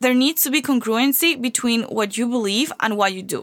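An energetic, enthusiastic voice with a Spanish accent rises and falls in lively intonation with a bright, sharp tone. The recording is very clean, with a silent background. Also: woman. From Venezuela. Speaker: marketing and personal branding coach. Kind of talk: solo podcast monologue.

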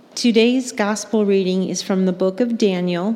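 A woman's medium-pitched voice with fairly even intonation, over noticeable background noise. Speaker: liturgist reading scripture. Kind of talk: scripture reading in church. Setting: church.

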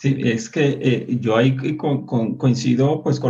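At a fairly slow pace, a man speaks at medium pitch with fairly even intonation. His tone is dark and mellow, and somewhat breathy. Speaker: panelist. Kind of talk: political discussion.

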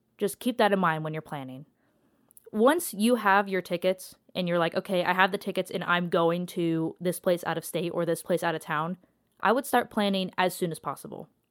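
At a moderate pace and with ordinary pitch variation, a speaker with an American accent is heard on a very clean recording with a silent background. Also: woman, medium pitch for a woman. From US Midwest, Columbus, Ohio. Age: 20s. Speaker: podcast host, college student. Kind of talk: casual solo podcast monologue.

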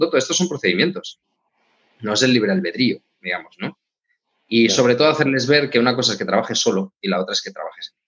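Very fast male speech at medium pitch, with lively intonation and big swings in loudness. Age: 40s. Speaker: tech executive, CTO. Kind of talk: interview.

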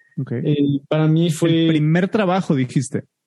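Dark, mellow tone at a fairly slow pace, somewhat breathy, with a dry, close sound and no echo. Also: man. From Ecuador. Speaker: junior software developer. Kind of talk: casual discussion.

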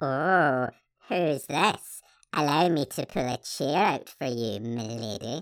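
A man's medium-pitched voice at a very slow pace, with lively intonation, on a very clean recording with a silent background. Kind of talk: comic overacting. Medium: comedy sketch. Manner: pompous, indignant, ranting.

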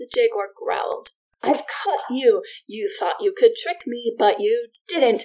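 Quiet surrounds the speech. It is delivered in an unforced reading voice.

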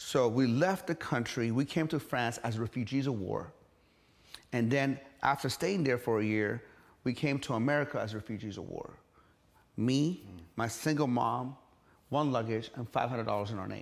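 A man with a Persian accent talks at medium pitch with ordinary pitch variation, leaving long, frequent pauses. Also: moderate pace. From Iran. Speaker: fitness entrepreneur. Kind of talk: interview. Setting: garage.

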